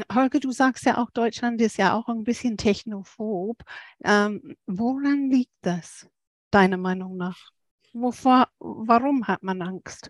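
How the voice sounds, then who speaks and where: A woman speaks very slowly, with long, frequent pauses. Her voice sits fairly high and shows ordinary pitch variation. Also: dry, close sound with no echo. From England. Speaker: podcast co-host. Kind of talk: interview conversation.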